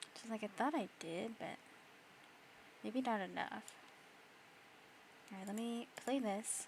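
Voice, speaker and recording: Long, frequent pauses break up a woman's fairly slow speech. Her voice is fairly high and somewhat breathy. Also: ordinary pitch variation. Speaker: streamer. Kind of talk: casual chat; reading aloud. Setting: live stream from home. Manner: whispering at times.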